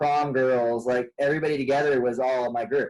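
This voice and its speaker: An unremarkable speaking voice from a man, pitched in the middle range, with intonation that stays fairly even. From Portland, Oregon and rural central California. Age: 30s. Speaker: outdoor guide and podcast guest. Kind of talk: casual interview chat.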